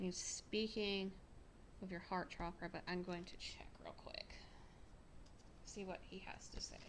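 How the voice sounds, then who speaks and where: A woman speaks in a whisper. She leaves long, frequent pauses. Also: fairly slow pace. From North Carolina. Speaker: tarot reader. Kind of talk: tarot reading to camera.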